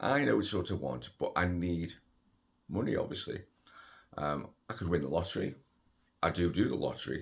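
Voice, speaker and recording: In a very clean recording with a silent background, a man talks at a fairly quick pace. His voice has a very deep, low pitch and vocal fry. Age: 60s. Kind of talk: casual talk to camera. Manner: hesitant, conversational.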